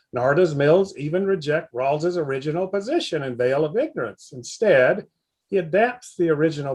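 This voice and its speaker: A man with a Southern US accent and lively intonation. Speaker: philosophy professor. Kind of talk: lecture. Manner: reading aloud.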